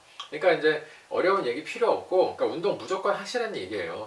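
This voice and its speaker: Through audible room echo and noticeable background noise, a man talks very fast. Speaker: doctor explaining health topics. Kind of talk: health explainer talk to camera.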